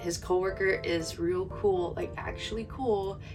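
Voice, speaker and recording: A woman speaks quietly at a fairly slow pace with music in the background. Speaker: manga collector / booktuber. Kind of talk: casual talk to camera. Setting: home, heater noise in background. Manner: quiet, low volume.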